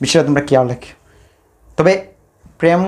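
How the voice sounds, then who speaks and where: Fairly even intonation in a man's fairly high-pitched speech. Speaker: stand-up comedian. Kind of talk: stand-up comedy monologue.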